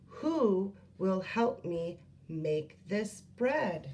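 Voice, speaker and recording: Using a put-on character voice, a woman speaks at a medium pitch. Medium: read story. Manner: earnest, insistent.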